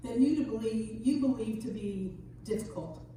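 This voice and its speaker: In a room with audible echo and noticeable background noise, a woman speaks at a fairly high pitch and fairly slow pace with lively intonation. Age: 60s. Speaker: minister. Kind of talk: sermon.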